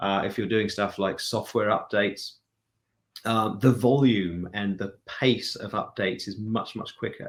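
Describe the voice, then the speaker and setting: A man speaks in a British accent with a fairly low pitch. The recording is very clean, with a silent background. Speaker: chief technology and product officer. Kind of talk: interview answer.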